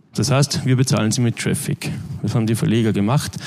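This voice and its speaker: A man's mid-range voice, with pitch moving in the normal way, comes through over noticeable background noise. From Austria (Linz, Upper Austria). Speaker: media tech manager. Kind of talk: conference talk.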